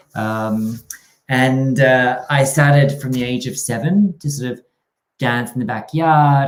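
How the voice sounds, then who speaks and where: A man with an Australian accent, medium in pitch, with ordinary pitch variation. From Australia, rural New South Wales. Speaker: dance company artistic director and choreographer. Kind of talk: interview.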